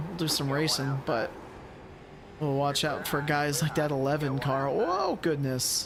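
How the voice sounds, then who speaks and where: A man's fairly high voice carries through audible room echo and noticeable background noise. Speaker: sim racing streamer. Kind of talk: live commentary.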